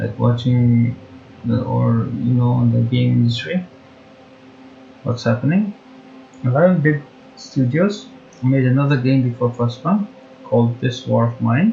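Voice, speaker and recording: Speech with a non-native accent moves at a fairly slow pace, broken by long, frequent pauses. Music plays in the background. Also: man. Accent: non-native English, mispronounces words. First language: not English. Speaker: gaming YouTuber. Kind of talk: gameplay commentary with partly read-out facts. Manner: halting, frequent self-corrections.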